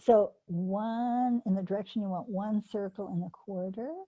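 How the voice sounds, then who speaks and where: A woman speaks at a fairly slow pace, her pitch fairly high with ordinary variation and her voice somewhat breathy. The tone is dark and mellow, and the background is quiet. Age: 80s+. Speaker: animal training teacher. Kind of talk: online workshop teaching.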